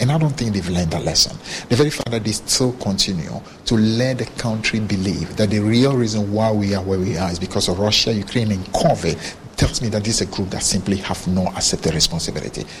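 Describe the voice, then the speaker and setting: Against noticeable background noise, a man with a fairly low pitch talks at a very fast pace with ordinary pitch variation. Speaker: party official. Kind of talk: press interview.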